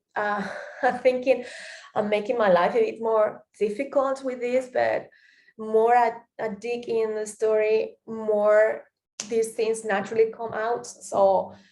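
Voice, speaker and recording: The speaker talks at a fairly slow pace with a Spanish accent. The intonation stays flat and monotone. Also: woman, fairly high pitch for a woman. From Spain, Catalonia (Tarragona). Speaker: podcaster, performance student. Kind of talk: reflective monologue. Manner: hesitant, many fillers.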